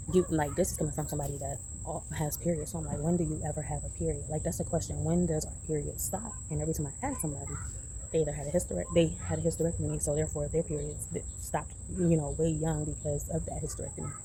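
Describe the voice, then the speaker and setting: A woman talks at a very fast pace with audible room echo. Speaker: vlogger. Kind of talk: casual vlog monologue.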